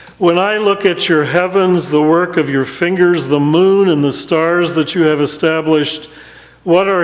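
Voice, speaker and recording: A man's fairly high voice at a fairly slow pace, ordinary in pitch variation, over noticeable background noise. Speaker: interim pastor. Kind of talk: sermon delivered to a congregation.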